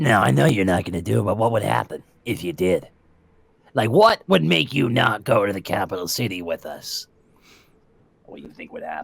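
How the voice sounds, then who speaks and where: A man puts on a raspy character voice with a fairly low pitch. He talks at a fairly quick pace, broken by long, frequent pauses. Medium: actual play. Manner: rambling, casual, salesman-like.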